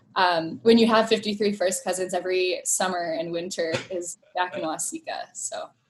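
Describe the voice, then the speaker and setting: A woman with an unremarkable speaking voice talks at a medium pitch and moderate pace with ordinary pitch variation. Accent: American. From Thailand and US Midwest. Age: young. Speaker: nonprofit co-founder. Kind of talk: interview.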